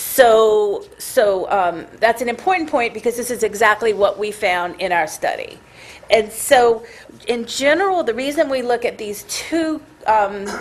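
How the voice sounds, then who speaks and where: A woman's fairly high voice, fairly slow and lively in intonation, over noticeable background noise. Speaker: scientist presenting research. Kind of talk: technical presentation. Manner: halting, many fillers and restarts.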